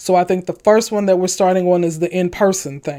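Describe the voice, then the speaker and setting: A woman's dark, mellow voice at a moderate pace, on a very clean recording with a silent background. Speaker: pastor and youth advocate podcaster. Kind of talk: podcast monologue. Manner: earnest, preacher-like.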